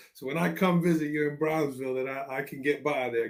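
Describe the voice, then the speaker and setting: Talking at a very fast pace with a New York accent, a man shows ordinary pitch variation. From New York City. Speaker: education podcast host, former teacher. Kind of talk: interview. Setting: live video call.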